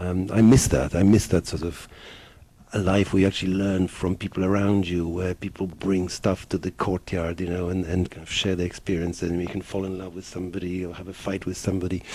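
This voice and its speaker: In a Polish accent, a man talks at a fairly quick pace with a very deep, low pitch, a dark, mellow tone and monotone, flat intonation. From Poland, Warsaw; moved to England at fifteen. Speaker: film director. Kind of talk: interview. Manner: hesitant, many fillers.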